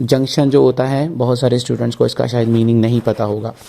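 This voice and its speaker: His voice is somewhat breathy and dark, mellow in tone, as a man speaks at medium pitch. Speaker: IELTS teacher. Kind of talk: tutorial.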